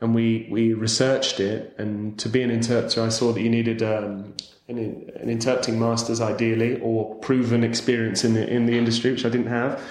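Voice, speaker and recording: A man's medium-pitched, monotone voice with flat intonation, a fairly quick pace, hardly any pauses and a southern English accent, plus audible room echo and noticeable background noise. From southern England, Winchester. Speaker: interpreter and football commentator. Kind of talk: casual interview.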